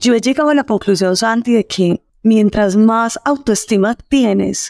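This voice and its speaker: A woman with an ordinary speaking voice, lively intonation and a fairly slow pace, dry and close with no echo, in a very clean recording with a silent background. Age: 50s. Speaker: storytelling expert. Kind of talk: interview.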